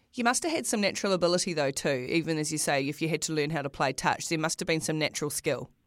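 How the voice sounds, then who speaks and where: A woman with a New Zealand accent talks at a very fast pace in a very deep, low pitch, using ordinary pitch variation and hardly any pauses, on a very clean recording with a silent background. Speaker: sports podcast host. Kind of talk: interview. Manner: repeats words, chatty.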